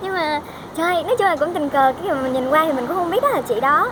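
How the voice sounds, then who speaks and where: A woman's high-pitched, very fast voice with lively intonation over noticeable background noise. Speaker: vlogger, international student. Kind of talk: casual vlog talk.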